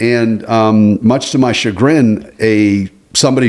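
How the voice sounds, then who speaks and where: A man's medium-pitched voice with ordinary pitch variation on a very clean recording with a silent background. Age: 60s. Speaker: podcast co-host. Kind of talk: casual chat. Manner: halting.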